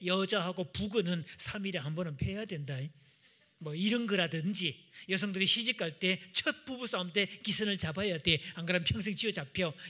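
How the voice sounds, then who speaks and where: A man speaks with a Gyeongsang accent in a high voice. His tone is animated, bright and sharp. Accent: Gyeongsang dialect, noticeable. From Gyeongsang region, Korea. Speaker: marriage counselor, revival speaker. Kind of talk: church seminar talk. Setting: church with audience. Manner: animated, audience-interactive.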